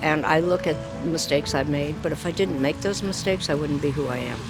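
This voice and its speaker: Music plays in the background as the speech moves at a fairly quick pace. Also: woman. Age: 80s. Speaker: retired PR professional and foundation program officer. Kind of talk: street interview answer.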